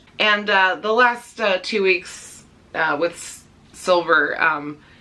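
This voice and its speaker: A woman's medium-pitched voice at a very slow pace, with ordinary pitch variation, big swings in loudness and noticeable background noise. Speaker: pet vlogger. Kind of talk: casual vlog update. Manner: halting, many fillers.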